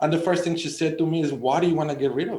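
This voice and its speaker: A man's dark, mellow voice in a Mexican accent with audible room echo. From Sonora, Mexico. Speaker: extension specialist. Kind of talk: radio panel discussion. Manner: halting, many repetitions.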